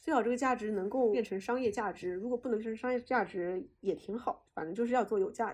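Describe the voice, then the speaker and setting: Talking at a very fast pace with hardly any pauses, a woman keeps a fairly high pitch and ordinary pitch variation. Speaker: podcast host. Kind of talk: casual interview. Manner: intense, fiery.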